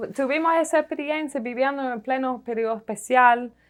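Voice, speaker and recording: Against a quiet background, a woman with an English accent speaks with ordinary pitch variation. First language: English (speaking Spanish). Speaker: economic historian, professor. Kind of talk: TV interview. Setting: TV studio. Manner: hesitant, with fillers.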